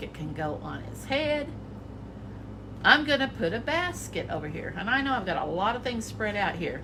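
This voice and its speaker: Over noticeable background noise and audible room echo, a woman speaks at a moderate pace with very wide pitch swings. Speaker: art teacher. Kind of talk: children's drawing tutorial. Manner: animated.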